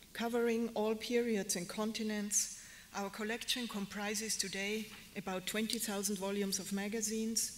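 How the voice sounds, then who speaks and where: A woman with a German accent and a fairly high pitch talks at a moderate pace in monotone, flat intonation, with noticeable background noise and audible room echo. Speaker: museum curator. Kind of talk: lecture.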